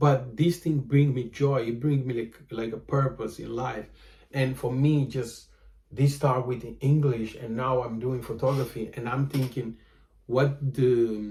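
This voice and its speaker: A man's somewhat breathy voice in a Portuguese accent, dark and mellow in tone, medium in pitch with ordinary pitch variation, at a fairly slow pace. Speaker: vlogger and photographer. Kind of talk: casual monologue vlog. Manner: halting, many fillers.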